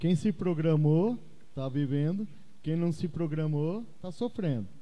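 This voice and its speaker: Speaking at a fairly slow pace, a man has a fairly high pitch, lively intonation and a dark, mellow tone. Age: 50s. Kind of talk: casual chat.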